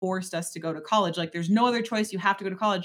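A woman with an American accent has a plain, everyday voice at a medium pitch, with ordinary pitch variation. The recording is very clean, with a silent background. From Wisconsin, Door County. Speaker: business coach. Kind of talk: interview.

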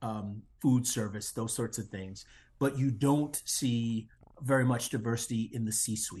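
Somewhat breathy, a man with an American accent speaks at a fairly slow pace with fairly even intonation. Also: medium pitch for a man. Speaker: social psychologist and diversity consultant. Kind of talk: interview.

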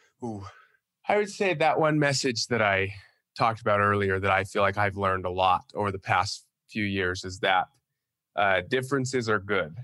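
With a Western US accent, a man speaks at a moderate pace in a fairly low pitch with ordinary variation. His tone is bright and sharp, on a very clean recording with a silent background. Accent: American (Western US). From Utah. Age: 20s. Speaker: college football player. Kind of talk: casual interview.

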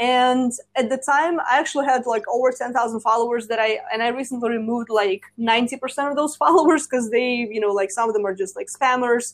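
A woman with a Russian accent talks at a fairly quick pace in a high pitch. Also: ordinary pitch variation. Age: 20s. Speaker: social media and marketing coach. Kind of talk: casual chat. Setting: remote call.

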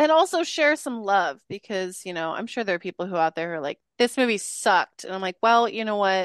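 A woman with medium pitch speaks at a fairly quick pace in a plain, everyday voice, with lively intonation and hardly any pauses. The sound is dry and close with no echo, and the background is quiet. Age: 20s. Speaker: podcast host, guest. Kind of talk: casual chat. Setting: video call.

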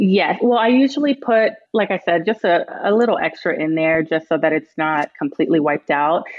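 Using an ordinary speaking voice, a woman talks at a fairly quick pace in a fairly low pitch with lively intonation. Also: very even loudness. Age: 20s. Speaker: caller. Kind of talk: call-in advice conversation. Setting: phone call.

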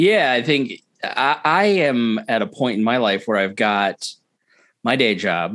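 Recorded very cleanly against a silent background, a man with an American accent speaks in an ordinary speaking voice at medium pitch and a fairly slow pace. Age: 30s. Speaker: libertarian podcaster and political activist. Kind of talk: casual chat.

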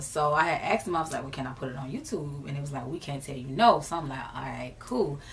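Speaking at a fairly quick pace with fairly even intonation, this voice has an American accent and audible room echo. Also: woman. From Jacksonville, Florida (US South). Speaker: rapper and singer. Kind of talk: interview. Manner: casual, relaxed.

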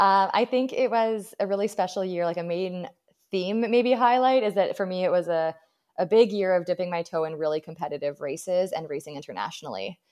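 A woman's medium-pitched, unremarkable speaking voice at a fairly quick pace, with ordinary pitch variation against a quiet background. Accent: Canadian. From British Columbia, Canada. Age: 30s. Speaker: ultra runner and running coach. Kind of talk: interview.

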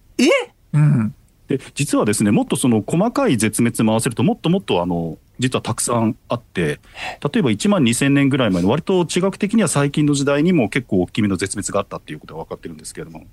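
A very fast, medium-pitched male voice with vocal fry, very wide pitch swings and big swings in loudness, in a dry, close sound with no echo. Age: 40s. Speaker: paleontologist and researcher. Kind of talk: radio interview.

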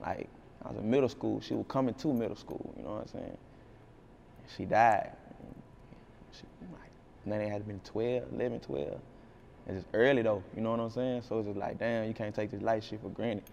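Fairly low in pitch, a man speaks at a fairly quick pace. His pitch varies an ordinary amount. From East Texas (Jacksonville). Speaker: rapper. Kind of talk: casual interview.

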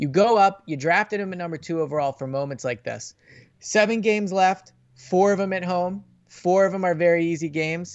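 Fairly quick speech from a man, pitched high, with ordinary variation in pitch. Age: 30s. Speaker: NFL reporter and podcast host. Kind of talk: casual chat.

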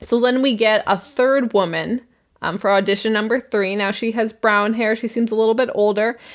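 A woman with a Canadian accent uses an unremarkable speaking voice, fairly high in pitch, at a moderate pace. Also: very clean recording, silent background. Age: 20s. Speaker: podcast co-host. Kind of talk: casual chat.

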